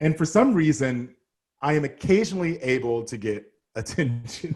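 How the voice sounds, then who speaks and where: A man speaks with an American accent. His voice is fairly high and somewhat breathy. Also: lively intonation, moderate pace. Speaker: model and activist. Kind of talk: casual chat. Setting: podcast interview.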